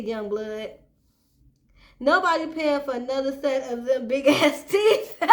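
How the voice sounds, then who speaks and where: In a room with audible echo, a woman with a high-pitched voice speaks at a moderate pace. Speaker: YouTube commentary host. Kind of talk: casual commentary.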